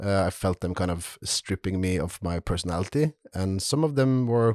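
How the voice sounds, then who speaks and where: A man with a Norwegian accent, fairly low in pitch and fairly slow, in a dry, close sound with no echo. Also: very clean recording, silent background. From Norway. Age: 30s. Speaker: leather crafter. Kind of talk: casual chat.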